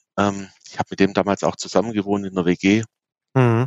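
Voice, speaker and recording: Fairly level intonation from a man with a somewhat low voice, moving at an average pace. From Swabia, Baden-Württemberg (near Aalen). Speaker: music festival organizer. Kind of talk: interview.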